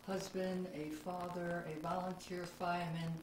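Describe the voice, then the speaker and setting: A woman's fairly low voice at a very slow pace, with noticeable background noise. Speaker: oral history interviewer. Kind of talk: interview questions.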